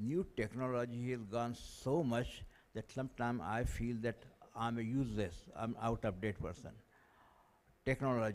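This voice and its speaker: A man with an Indian accent speaks fairly slowly at a medium pitch with fairly even intonation. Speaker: audience member asking a question. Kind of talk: Q&A question from the floor.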